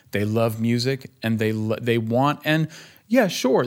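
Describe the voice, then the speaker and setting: A man speaks at medium pitch and a moderate pace. His pitch varies in an ordinary way. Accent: American. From California, Bay Area (Berkeley). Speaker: guitarist. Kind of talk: casual chat.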